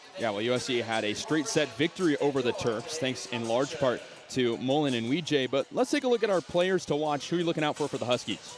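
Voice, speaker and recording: Over music in the background, a man with a fairly high pitch races along at a very fast pace with hardly any pauses and lively intonation. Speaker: sports play-by-play announcer. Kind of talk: TV sports broadcast open.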